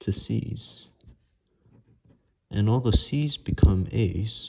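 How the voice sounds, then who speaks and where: Soft-spoken and somewhat breathy, a man talks at a very slow pace with fairly low pitch and ordinary pitch variation. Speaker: math tutor. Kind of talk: math tutorial explanation.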